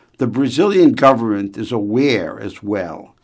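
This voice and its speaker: With a normal speaking voice, a man talks at a moderate pace in a medium pitch. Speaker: radio commentator. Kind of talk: formal newsreading, a scripted radio commentary on trade delivered with authority. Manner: formal, measured, steady; crisp and authoritative, with an opinionated edge.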